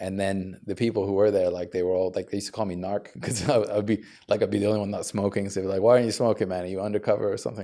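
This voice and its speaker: With a dark, mellow tone, a man talks at a very fast pace and a fairly low pitch, his intonation monotone and flat. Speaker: podcast guest sharing weight loss journey. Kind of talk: interview conversation. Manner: casual, filler-heavy.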